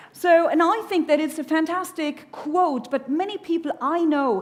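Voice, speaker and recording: A woman speaks with a German accent. Her tone is animated. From Germany. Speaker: keynote speaker. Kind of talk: conference keynote. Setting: stage with audience.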